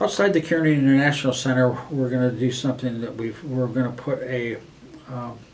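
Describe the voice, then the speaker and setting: Audible room echo and noticeable background noise surround a man speaking with an American accent. He talks at a fairly quick pace, his medium pitch held in fairly even intonation. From Western New York State. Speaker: student union director. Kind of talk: interview. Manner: hesitant, many fillers and restarts.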